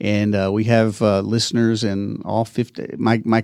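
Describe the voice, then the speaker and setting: In an East Texas accent, a man speaks at a fairly low pitch with monotone, flat intonation. The sound is dry and close with no echo, on a very clean recording with a silent background. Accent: East Texas drawl. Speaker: podcast producer. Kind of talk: casual interview. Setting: in person, same room. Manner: halting, many fillers.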